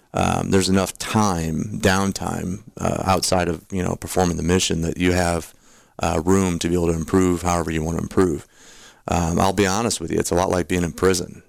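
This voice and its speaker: Over a silent background in a very clean recording, a man speaks at a fairly quick pace. His very deep, low voice holds a monotone, flat intonation. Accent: American. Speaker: tax professional and military veteran. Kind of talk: casual radio interview. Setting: radio studio.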